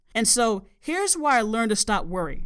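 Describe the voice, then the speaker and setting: A woman with an American accent speaks at a fairly high pitch with very wide pitch swings. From US South. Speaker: podcast host, life coach. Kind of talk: solo podcast monologue, self-help talk.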